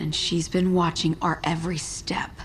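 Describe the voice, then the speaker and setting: In a raspy, whispering put-on character voice, the speaker moves along at a moderate pace. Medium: video game.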